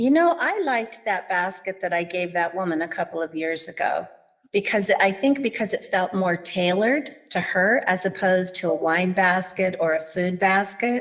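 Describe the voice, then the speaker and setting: In a plain, everyday voice at a medium pitch, a woman speaks at a moderate pace with ordinary pitch variation and hardly any pauses. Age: 60s. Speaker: executive assistant. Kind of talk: interview.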